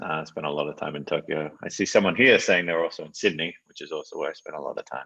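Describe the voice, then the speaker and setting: This man has an Australian accent. His speech comes at a very fast pace. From northeastern Australia, Townsville. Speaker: tech product director. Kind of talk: live Q&A.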